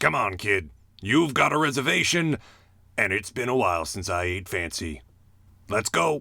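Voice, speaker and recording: In a put-on character voice, a man sounds raspy and fairly low-pitched, swinging very widely in pitch at a moderate pace with long, frequent pauses, on a very clean recording with a silent background. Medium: fan dub. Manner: blunt, dry.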